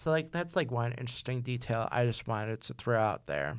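In a very clean recording with a silent background, a man with a medium pitch speaks at a moderate pace in an unremarkable speaking voice. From New York. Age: 30s. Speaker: podcast host, film student. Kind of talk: solo podcast monologue. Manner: casual with many fillers.

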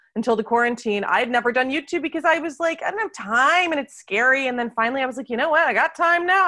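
A woman with an American accent speaks very fast in a raised, projected, high voice, with lively intonation, a bright, sharp tone and hardly any pauses. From United States. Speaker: wine teacher. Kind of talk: casual interview chat.

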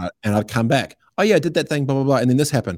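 In a very clean recording with a silent background, a man speaks very fast at a medium pitch, the sound dry and close with no echo. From New Zealand (Christchurch, Aranui). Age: 30s. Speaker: entrepreneur and radio host. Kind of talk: casual chat. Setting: studio.

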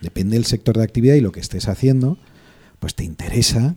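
A man talks very fast at a medium pitch, somewhat breathy, with a dark, mellow tone, lively intonation and a dry, close sound with no echo. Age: 40s. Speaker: lawyer advising startups and investors. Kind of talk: casual chat.

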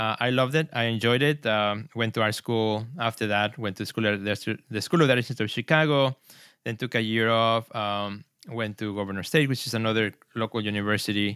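A man's medium-pitched voice with a Spanish accent, bright and sharp in tone, at a fairly quick pace, dry and close with no echo, on a very clean recording with a silent background. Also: fairly even intonation. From Mexico City, Mexico. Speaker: artist and gallery director. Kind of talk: interview.

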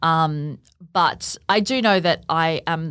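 An Australian accent from a woman with a very deep, low pitch, on a very clean recording with a silent background. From Australia, Gold Coast. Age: 30s. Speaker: podcast producer and cancer patient. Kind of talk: interview, personal testimony. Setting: studio.

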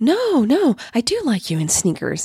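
Putting on a character voice, a woman speaks at a fairly slow pace and fairly high pitch with very wide pitch swings. Her tone is dark and mellow with a husky, rough edge, and the sound is dry and close with no echo.

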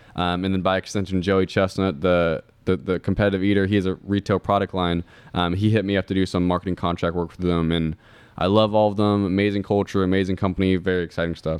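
Very fast and monotone, a man with an American accent speaks in a very deep, low pitch with flat intonation. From Indiana, US Midwest. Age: 20s. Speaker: marketer and speaker. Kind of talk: casual chat.

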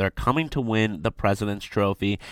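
A man with an American accent speaks in an animated tone at a moderate pace. His voice is fairly low, and the recording is very clean with a silent background. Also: dry, close sound with no echo. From Michigan, Detroit. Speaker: sports radio host. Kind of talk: sports radio show monologue.

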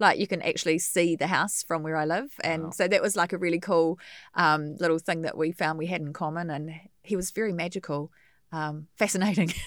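A woman with a New Zealand accent speaks in a fairly low voice with fairly even intonation, recorded very cleanly against a silent background. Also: fairly quick pace. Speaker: radio host and funeral celebrant. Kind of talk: casual interview chat. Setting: radio studio.

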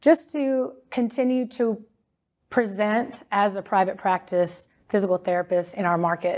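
A woman with an American accent has an unremarkable speaking voice at a medium pitch, speaking at a fairly slow pace with lively intonation. The recording is very clean, with a silent background. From Texas, Dallas-Fort Worth area. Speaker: physical therapy business founder. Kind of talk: interview.

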